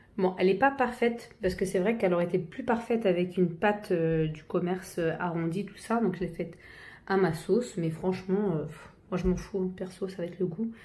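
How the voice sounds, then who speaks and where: Talking at a fairly quick pace, a woman with a medium pitch and a dark, mellow, somewhat breathy tone uses ordinary pitch variation amid audible room echo. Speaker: home cook. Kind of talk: tutorial. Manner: halting, many fillers.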